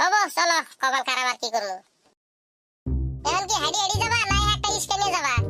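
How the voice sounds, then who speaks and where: A woman puts on a squeaky, cartoonish character voice at an extremely high pitch with very wide pitch swings. She moves at a moderate pace, with faint music in the background. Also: very even loudness. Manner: nagging, sarcastic.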